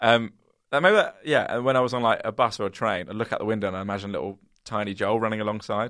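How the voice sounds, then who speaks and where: A man delivers his words very rapidly in a mid-range pitch. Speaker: comedy podcast co-host. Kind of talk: casual chat. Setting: office. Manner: fast.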